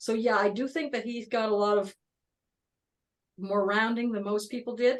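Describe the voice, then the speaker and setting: A woman with a plain, everyday voice, fairly high in pitch, fairly even in intonation, at a moderate pace. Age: 60s. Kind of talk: casual chat.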